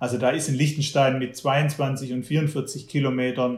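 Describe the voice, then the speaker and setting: This man has a somewhat breathy voice at a medium pitch. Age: 40s. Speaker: magazine publisher and trail runner. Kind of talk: interview. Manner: hesitant, repeats words.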